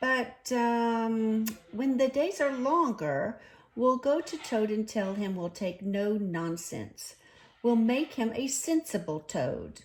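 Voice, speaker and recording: A woman performs a put-on character voice that is gruff and fairly high in pitch. Her intonation is lively and her pace very slow. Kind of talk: bedtime story. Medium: read story.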